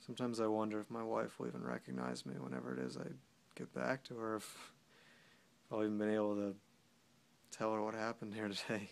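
Talking at a very fast pace, a man with a fairly low pitch makes very wide pitch swings. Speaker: actor performing a soldier character. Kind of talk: dramatic monologue. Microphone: phone near.

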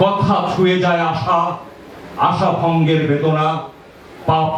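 A man is heard talking against noticeable background noise. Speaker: poetry reciter. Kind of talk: poetry reading. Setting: outdoors.

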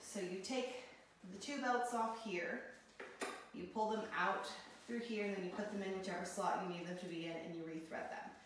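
A woman speaks at a fairly quick pace with ordinary pitch variation. Strong room echo and light background noise are heard. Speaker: product reviewer. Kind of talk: tutorial. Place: empty room. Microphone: camera far.

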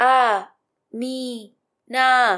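A woman performs a put-on character voice. Her pitch sits high. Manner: lengthened, drawn-out syllables.

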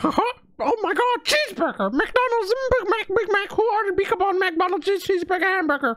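A put-on character voice with an extremely high pitch moves at a moderate pace. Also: hardly any pauses. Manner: excited, rambling.

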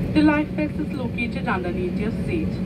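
The speech comes at a fairly quick pace. Loud background noise fills the recording. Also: woman. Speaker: cabin crew announcer. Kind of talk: in-flight safety announcement. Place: plane.

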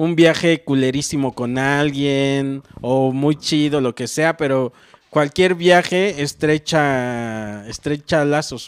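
At a very slow pace, a man with a central Mexican accent speaks in a fairly high voice with ordinary pitch variation against a quiet background. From Mexico, Morelos; Mexico. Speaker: comedian. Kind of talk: casual chat. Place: home room. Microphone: handheld.

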